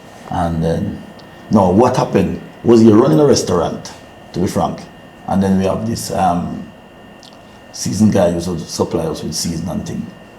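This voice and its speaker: A man with a very deep, low voice speaks at a moderate pace with lively intonation and long, frequent pauses. Audible room echo and noticeable background noise fill the recording. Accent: Jamaican. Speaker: business owner. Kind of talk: interview. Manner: halting; quiet.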